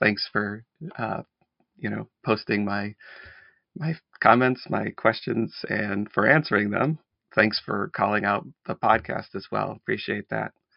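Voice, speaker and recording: A man with an American accent at a fairly slow pace, with long, frequent pauses. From central New York (Syracuse area). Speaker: caller, fellow podcaster. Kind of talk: voicemail message.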